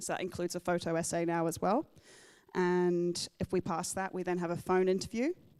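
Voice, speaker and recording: The delivery is fairly quick and flat in monotone, with a dry, close sound and no echo. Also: woman, fairly low pitch for a woman. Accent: slight English. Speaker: military photographer. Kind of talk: Q&A talk at club meeting. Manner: halting, many fillers.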